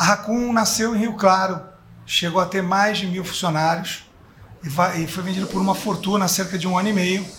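In a room with audible echo, a man with a high voice speaks at a moderate pace with fairly even intonation. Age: 50s. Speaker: advertising executive. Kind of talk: panel discussion. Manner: halting.

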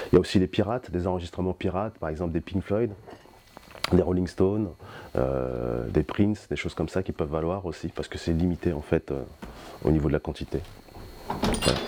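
A man with a very deep, low voice talks at a moderate pace, leaving long, frequent pauses. Noticeable background noise runs behind him. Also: ordinary pitch variation. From French Antilles, raised in France. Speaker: record shop owner. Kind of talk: interview. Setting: record shop. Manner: hesitant, many fillers.

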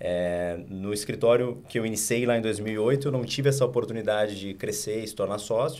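A man's fairly low voice with audible room echo. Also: ordinary pitch variation, moderate pace. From Rio Grande do Sul, Porto Alegre. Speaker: investment firm co-founder. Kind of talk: interview.

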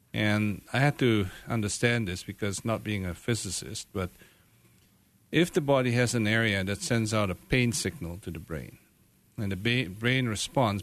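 Speaking at a moderate pace, a man with an unremarkable speaking voice and fairly low pitch uses lively intonation. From Canada. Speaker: medical doctor, pain specialist. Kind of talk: radio interview. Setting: radio studio.

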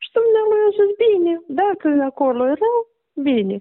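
Speaking in a Moldovan accent, the voice moves at a fairly slow pace with very wide pitch swings. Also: woman. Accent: Moldovan Romanian, regional forms. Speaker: bereaved mother of a patient. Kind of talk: testimony.

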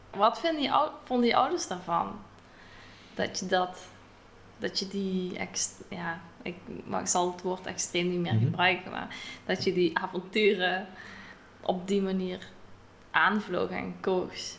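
Amid noticeable background noise, a woman speaks very slowly at a medium pitch with ordinary pitch variation and long, frequent pauses. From Netherlands. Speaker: podcast host and travelling cook. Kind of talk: interview. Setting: recorded in a house in Greece.

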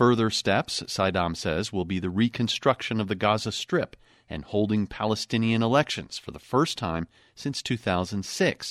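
In a very clean recording with a silent background and a dry, close sound with no echo, a man with a fairly low pitch and an ordinary speaking voice talks at a moderate pace with ordinary pitch variation. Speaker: foreign correspondent. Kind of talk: news reading, scripted radio report. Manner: formal, steady, measured.

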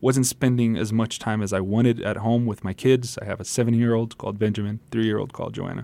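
Talking at a very fast pace with hardly any pauses, a man keeps a medium pitch and a monotone, flat intonation. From Brazil. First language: Portuguese. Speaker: pastor and musician. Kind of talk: radio interview.

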